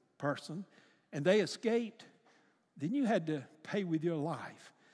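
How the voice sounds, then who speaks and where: Very wide pitch swings mark this man's speech at a fairly slow pace. The recording is very clean with a silent background. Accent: Alabama. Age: 80s+. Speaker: retired pastor. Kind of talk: sermon. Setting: church.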